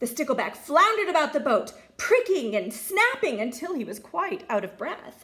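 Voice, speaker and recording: The woman's pitch makes very wide swings while she keeps a moderate pace. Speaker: teacher. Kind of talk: children's story reading.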